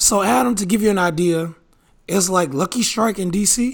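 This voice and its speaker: A man speaks at a fairly slow pace in a strained voice. His pitch varies in an ordinary way. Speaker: podcast host. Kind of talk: casual banter podcast.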